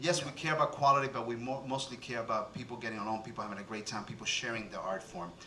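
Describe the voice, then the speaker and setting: A man rattles along very fast with lively intonation, amid audible room echo and noticeable background noise. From born in Cuba, raised in New Jersey. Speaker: TV show host and city commissioner. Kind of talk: reading a guest bio aloud; stage emcee remarks with jokes. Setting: stage with audience at festival ceremony. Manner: animated, joking.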